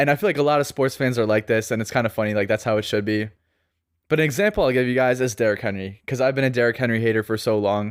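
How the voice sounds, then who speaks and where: Over a silent background in a very clean recording, a man talks at a very fast pace, his medium pitch moving with ordinary variation and his loudness very even. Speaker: fantasy football podcast host. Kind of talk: casual podcast monologue. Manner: casual, conversational.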